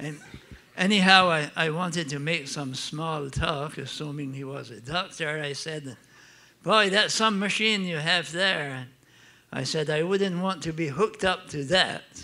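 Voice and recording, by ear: In an Acadian accent, a man speaks fairly slowly at a fairly high pitch, with ordinary pitch variation and a bright, sharp tone. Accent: Acadian French Canadian.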